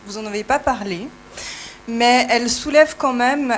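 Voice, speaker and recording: Heard over noticeable background noise, a woman speaks in a Swiss accent at a high pitch with ordinary pitch variation. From Switzerland. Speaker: audience member, sexologist. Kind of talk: audience question.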